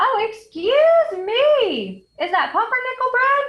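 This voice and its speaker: A woman squeaks out a put-on character voice at an extremely high pitch. She speaks at a fairly slow pace. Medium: read story. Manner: chatty, fussy.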